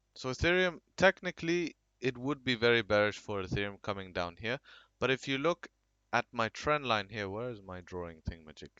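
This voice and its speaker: A man at medium pitch and a fairly quick pace, with very wide pitch swings and big swings in loudness. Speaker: crypto market analyst. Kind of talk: chart analysis commentary. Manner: hesitant, with many fillers.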